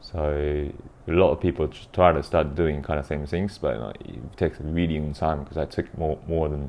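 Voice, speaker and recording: This man's voice sits very deep and low, with vocal fry running through it. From Japan. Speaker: DJ and party organizer. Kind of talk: interview. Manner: halting, with many fillers.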